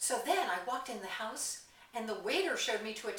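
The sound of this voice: In an unforced reading voice, the delivery has lively intonation.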